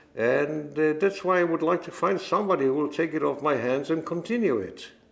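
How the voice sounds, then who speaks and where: At a moderate pace, a man speaks with a fairly high pitch and vocal fry. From Israel (Jerusalem). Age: 80s+. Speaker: music publisher. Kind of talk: oral history interview. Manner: halting, with repetitions.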